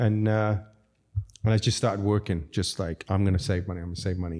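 This is a very clean recording with a silent background. A man speaks with a fairly low pitch, a dark, mellow tone and fairly even intonation. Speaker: restaurateur. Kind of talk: casual interview chat.

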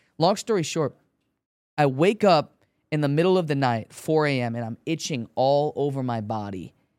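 With an American accent, a man in an ordinary speaking voice talks at a moderate pace, fairly high in pitch with lively intonation, the sound dry and close with no echo. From Chicago. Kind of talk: testimony. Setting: studio.

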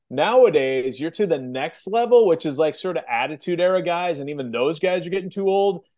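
Here a man talks at a high pitch in an American accent. His pace is fairly quick and his intonation lively. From US Midwest, Kansas City. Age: 40s. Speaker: wrestling podcast co-host and interviewer. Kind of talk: casual interview.

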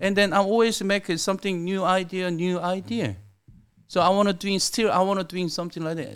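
In a very clean recording with a silent background, a man with a Korean accent talks at a fairly quick pace in a high voice with fairly even intonation. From South Korea. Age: 50s. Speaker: sushi restaurant owner. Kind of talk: casual interview. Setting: studio.

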